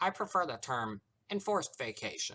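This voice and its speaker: A man puts on a character voice at a moderate pace. The recording is very clean with a silent background. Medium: read story. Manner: obnoxiously cheerful, smug.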